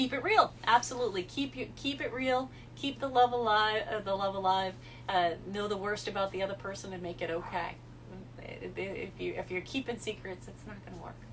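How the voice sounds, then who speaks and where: A woman with a slight New England accent at medium pitch, lively intonation, moderate pace and big swings in loudness, over noticeable background noise. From New England, US. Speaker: social media model. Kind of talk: livestream chat answering viewer questions. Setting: Instagram live stream. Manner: direct.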